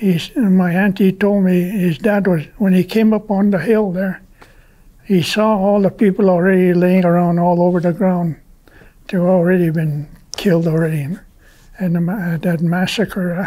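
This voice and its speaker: A man with a high pitch and a dark, mellow tone speaks at a moderate pace. His intonation is fairly even, and the background is quiet. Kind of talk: interview answer, oral history. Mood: calm, reflective storytelling. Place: home room.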